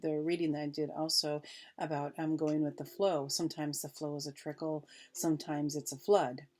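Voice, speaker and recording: A woman's very deep, low pitch and dark, mellow tone on a very clean recording with a silent background. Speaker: spiritual teacher / card reader. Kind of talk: reading aloud with commentary. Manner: halting, repeats words.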